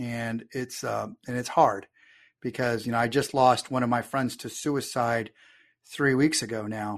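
A man talks with a Texan accent at a medium pitch. His pace is fairly slow, and the background is quiet. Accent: Texan American. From Texas. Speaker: army veteran and marketing consultant. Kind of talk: casual interview.

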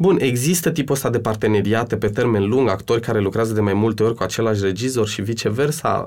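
Words come at a very fast pace with hardly any pauses and ordinary pitch variation. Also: man, medium pitch for a man. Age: 30s. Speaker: actor and cultural manager. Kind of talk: interview. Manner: hesitant.

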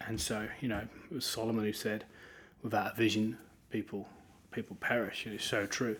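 This man speaks with an East Anglian accent at a medium pitch. His pace is fairly quick. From eastern England (Norwich). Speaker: pastor. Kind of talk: interview.

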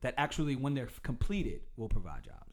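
A man with an unremarkable speaking voice talks at a fairly high pitch with lively intonation. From US South, Durham, North Carolina. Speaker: city council candidate and hip-hop artist. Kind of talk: casual interview.

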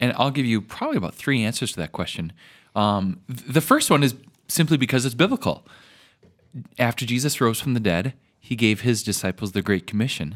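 In an ordinary speaking voice, a man talks at a fairly quick pace with ordinary pitch variation on a very clean recording with a silent background. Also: medium pitch for a man. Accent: American. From Minnesota. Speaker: pastor. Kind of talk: interview.

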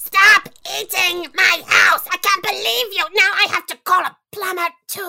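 A put-on character voice that sounds female, pitched extremely high, moves at a moderate pace. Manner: scheming, then flustered and angry.

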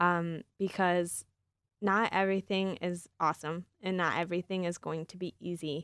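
A woman with a Midwestern American accent speaks at a fairly low pitch and a moderate pace, her intonation monotone and flat. Her loudness swings widely, and the sound is dry and close with no echo on a very clean recording with a silent background. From Michigan, East Lansing. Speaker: recent graduate, incoming medical student. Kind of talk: interview.

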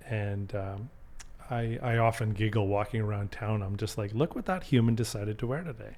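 Speaking at a fairly quick pace, a man with a Canadian accent has a somewhat breathy, fairly low voice and ordinary pitch variation. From Canada, Calgary. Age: 50s. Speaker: restaurant group partner. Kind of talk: casual chat.

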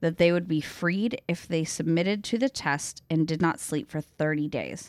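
A woman with an American accent uses a normal speaking voice at a fairly low pitch, with lively intonation. She keeps a moderate pace on a very clean recording with a silent background. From upstate New York. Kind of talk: casual banter, then reading horror narration.

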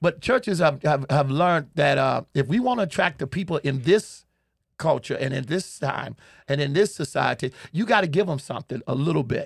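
A fairly high-pitched, somewhat breathy man with an American accent and lively intonation, in a very clean recording with a silent background and a dry, close sound with no echo. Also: moderate pace. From Chicago, US. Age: 60s. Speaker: pastor and comedian. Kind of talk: humorous interview, storytelling. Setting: studio. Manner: animated, humorous storyteller.

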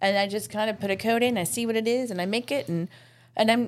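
This woman has an ordinary speaking voice. Her pitch is fairly high, with ordinary pitch variation. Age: 40s. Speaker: florist. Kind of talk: casual chat.

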